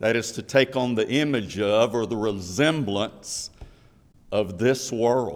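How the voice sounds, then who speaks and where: Very slowly, a man talks at a medium pitch, using ordinary pitch variation. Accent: Southern US. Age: 50s. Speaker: preacher. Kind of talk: sermon. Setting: church.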